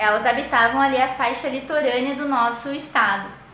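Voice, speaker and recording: Over noticeable background noise and audible room echo, a woman talks at a moderate pace in a high pitch with ordinary pitch variation. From Paraná, southern Brazil. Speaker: teacher trainee. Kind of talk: recorded lesson for primary pupils. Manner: hesitant, many fillers.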